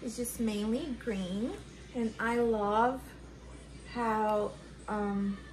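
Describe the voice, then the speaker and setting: With long, frequent pauses, a woman speaks very slowly at a fairly high pitch, her voice carrying audible room echo. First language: not English. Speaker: houseplant youtuber. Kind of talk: casual tutorial. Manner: animated.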